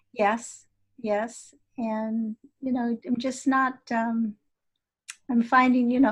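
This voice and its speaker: This very clean recording with a silent background holds a woman's fairly high, somewhat breathy voice. Her intonation is monotone and flat. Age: 70s. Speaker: energy healer and teacher. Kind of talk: interview.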